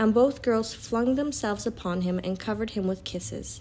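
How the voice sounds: Plain pitch movement in a natural read-aloud voice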